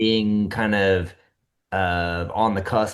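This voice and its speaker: A man with a Midwestern US accent speaks in monotone, flat intonation. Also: quiet background. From small-town Iowa. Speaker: podcast co-host. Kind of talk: casual chat.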